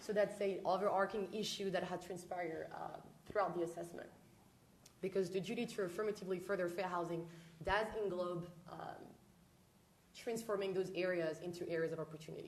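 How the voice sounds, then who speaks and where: A woman's medium-pitched voice with a French accent, monotone and flat, at a fairly quick pace broken by long, frequent pauses, with audible room echo. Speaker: housing researcher presenting to city council. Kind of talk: presentation. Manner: formal.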